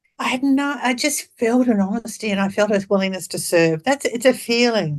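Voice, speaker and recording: A woman in an Australian accent talks with ordinary pitch variation against a quiet background. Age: 70s. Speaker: birth and death doula. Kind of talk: interview. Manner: animated.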